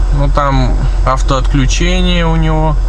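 A man talks over noticeable background noise. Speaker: family vlogger. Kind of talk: casual vlog chat. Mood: relaxed, chatty. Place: car. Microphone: phone near.

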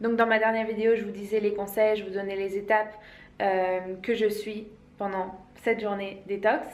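There is audible room echo as a woman speaks at a moderate pace. Her intonation is monotone and flat. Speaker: vegan wellness vlogger. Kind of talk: casual vlog chat. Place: home room. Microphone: phone near.

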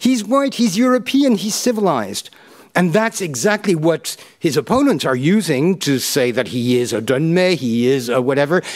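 Pitch swings very widely while loudness stays very even. The pace is moderate, over a quiet background. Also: man, high pitch for a man. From Turkey, raised partly abroad as diplomat's child. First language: Turkish. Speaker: history professor, keynote speaker. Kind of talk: lecture; Q&A answers. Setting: stage with audience, live-streamed. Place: hall. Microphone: podium.

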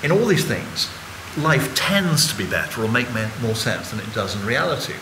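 The voice holds a moderate pace as noticeable background noise continues. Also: man. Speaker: guest. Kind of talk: panel talk, lecture-like explanation. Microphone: podium.

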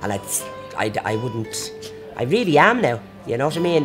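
With clear music playing behind her, a woman speaks in a very deep, low voice that swings very widely in pitch. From Ireland. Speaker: interviewee. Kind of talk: interview answer. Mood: lively, amused. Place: bar.

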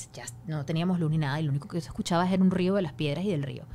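At a very fast pace, the voice comes out somewhat breathy. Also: woman. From Venezuela. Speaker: news anchor. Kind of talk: casual chat. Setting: studio. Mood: emotional recounting of hardship. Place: studio. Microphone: studio mic.

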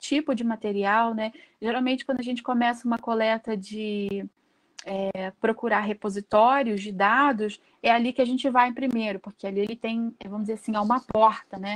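Against a quiet background, a woman speaks at a moderate pace. Her pitch is fairly high and her intonation fairly even. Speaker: workshop presenter, researcher; presenter. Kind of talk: lecture. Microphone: video call.

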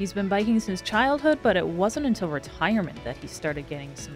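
The voice is a woman's. Music plays in the background. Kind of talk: documentary narration.

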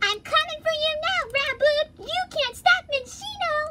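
Playful and extremely high-pitched, this put-on character voice moves at a moderate pace. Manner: playful, threatening in a cartoon way.

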